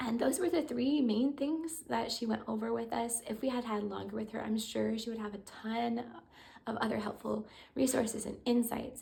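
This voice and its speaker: A woman in an American accent, with a fairly high pitch, a dark, mellow tone and vocal fry. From US. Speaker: parent vlogger. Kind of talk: casual tutorial. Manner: conversational with fillers.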